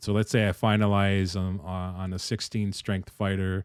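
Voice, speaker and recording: A man's fairly low voice with fairly even intonation, on a very clean recording with a silent background. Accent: East Coast US. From US East Coast. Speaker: game dev streamer. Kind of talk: live stream chat and tutorial. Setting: live stream. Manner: casual, conversational.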